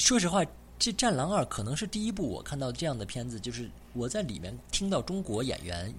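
This man talks at a fairly quick pace and a medium pitch, with vocal fry. His pitch swings very widely. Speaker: podcast host. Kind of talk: casual chat.

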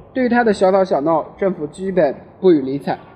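A man is speaking at a moderate pace. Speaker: amateur audiobook reader. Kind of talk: reading aloud. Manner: halting, frequent self-corrections.

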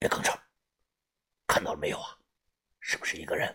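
A man's raspy, put-on character voice at a fairly quick pace.

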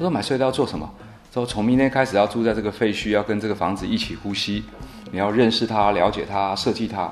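Speaking very fast, a man keeps to a fairly low pitch. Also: ordinary pitch variation. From Taiwan, Nantou. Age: 30s. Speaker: guesthouse owner and rural entrepreneur. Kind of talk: interview.

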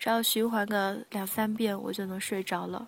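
A woman's medium-pitched voice, fairly slow and in a monotone, flat intonation. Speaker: podcast host. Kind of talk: casual music radio talk. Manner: soft, sleepy late-night style.

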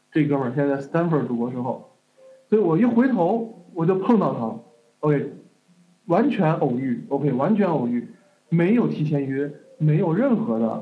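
Audible room echo surrounds a fairly slow voice with very wide pitch swings and long, frequent pauses. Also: man, fairly high pitch for a man. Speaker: online course teacher. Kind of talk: lecture. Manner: casual, lots of fillers.

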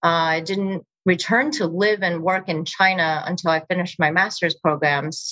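In a normal speaking voice, a woman with a fairly low pitch speaks at a moderate pace with hardly any pauses and fairly even intonation. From US, moved from Beijing at age seven. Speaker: impact investor and family office founder. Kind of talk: interview.

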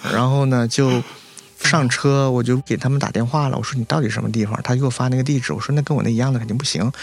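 Very fast speech with ordinary pitch variation over noticeable background noise. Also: man. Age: 30s. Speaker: importer, former sommelier and vet student. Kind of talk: casual interview chat.

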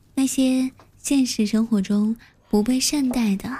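A woman talks at a very slow pace in a somewhat breathy voice with a dark, mellow tone. Her pitch varies in an ordinary way on a very clean recording with a silent background. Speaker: live-stream radio host. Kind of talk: late-night live-stream chat and storytelling. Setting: live audio stream with chat and gifts. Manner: chatty, frequent filler particles.

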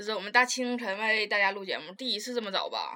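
A woman performs a put-on character voice at a fairly high pitch. It sounds hoarse and raspy and rushes along at a very fast pace.

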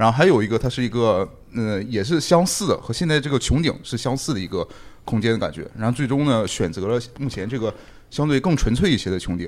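Over a silent background in a very clean recording, a man talks very fast at a medium pitch with lively intonation. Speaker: architecture scholar. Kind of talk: casual chat. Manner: joking.

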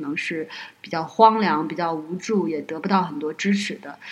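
With ordinary variation in her pitch, a woman talks at a moderate speed. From Northeast China. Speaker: podcast guest, host's friend. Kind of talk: casual chat. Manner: hesitant, many fillers.

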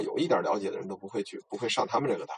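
Very fast speech from a man against noticeable background noise. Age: 40s. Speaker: podcast guest talking about Tibetan legends. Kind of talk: casual chat.

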